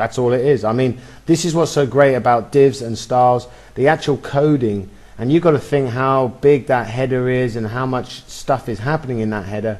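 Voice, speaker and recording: In a plain, everyday voice, a man speaks at medium pitch and a moderate pace, his pitch varying in an ordinary way. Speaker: web design tutor. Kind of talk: screen-recorded tutorial. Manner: casual, with fillers.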